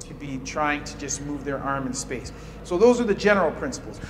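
Music plays behind a man as he talks. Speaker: physical therapy instructor. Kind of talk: tutorial. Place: gym. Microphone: camera far.

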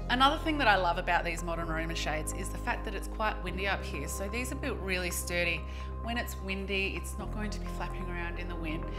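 A woman talks at a very fast pace with clear music in the background. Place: home room.

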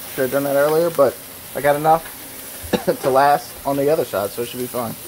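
Very fast speech plays over light background noise. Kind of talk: casual cooking vlog chat. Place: kitchen. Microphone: phone near.

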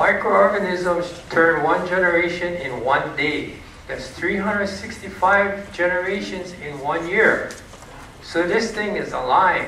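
A man talks at a very slow pace in a high voice. The room echo is audible, and there is light background noise. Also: ordinary pitch variation. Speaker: presenter. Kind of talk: lecture. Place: hall.

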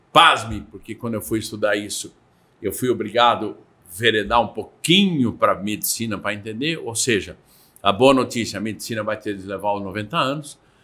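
Bright and sharp in tone, a man's voice moves at a moderate pace with ordinary pitch variation and big swings in loudness. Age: 60s. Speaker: real estate consultant; guest. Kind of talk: interview. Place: studio. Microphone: studio mic.

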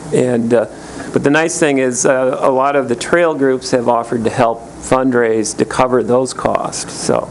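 Over noticeable background noise, a man with a medium-pitched voice talks at a moderate pace with fairly even intonation. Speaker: land conservancy representative. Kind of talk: public meeting comment. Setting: county board meeting at podium microphone.

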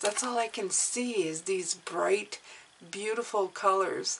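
A woman talks very slowly, her pitch varying in an ordinary way, with light background noise behind her. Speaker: tarot reader. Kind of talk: tarot reading commentary. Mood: upbeat, encouraging. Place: home room.

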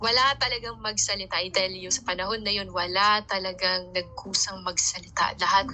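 Noticeable background noise runs behind a woman who talks at a fairly quick pace. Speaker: Bible teacher and street evangelist. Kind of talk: Bible reading with commentary. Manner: casual, with frequent fillers and self-corrections.

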